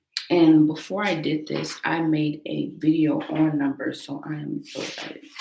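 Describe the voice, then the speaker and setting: Spoken at a moderate pace, the clip carries noticeable background noise. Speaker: Bible reading livestreamer. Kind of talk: casual livestream chat and Bible reading. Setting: livestream from a small room at home. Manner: quiet so as not to wake roommates.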